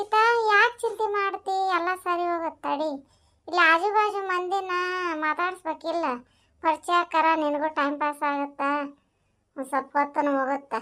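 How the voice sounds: Over music in the background, a woman uses a cartoonish character voice at a moderate pace.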